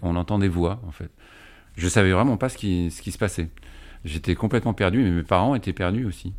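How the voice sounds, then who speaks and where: In a very deep, low pitch with ordinary pitch variation, a man speaks at a fairly quick pace with long, frequent pauses and big swings in loudness. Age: 50s. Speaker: father-carer recovered from schizophrenia. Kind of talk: interview testimony.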